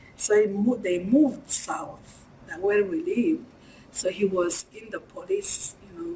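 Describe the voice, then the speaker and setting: In a Rwandan accent, a woman speaks at a fairly slow pace and fairly high pitch, with very wide pitch swings and big swings in loudness. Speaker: genocide survivor, former student. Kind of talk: interview answer.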